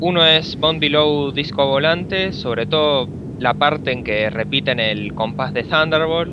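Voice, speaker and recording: Over noticeable background noise and audible room echo, a man talks fairly slowly at a fairly high pitch with ordinary pitch variation. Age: 20s. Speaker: podcast co-host. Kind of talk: casual chat. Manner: halting.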